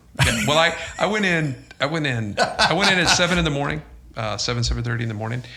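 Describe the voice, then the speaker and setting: Noticeable background noise and audible room echo surround a man's voice. He talks at a very fast pace with a fairly high pitch and lively intonation. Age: 60s. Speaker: clinical psychologist. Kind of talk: podcast interview. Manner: halting, many fillers.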